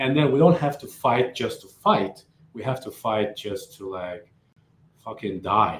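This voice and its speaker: The speech moves at a fairly slow pace and sounds somewhat breathy. Its loudness swings a lot. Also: man, medium pitch for a man. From Uzbekistan. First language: Uzbek or Russian. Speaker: coffee company founder. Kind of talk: casual chat. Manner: halting.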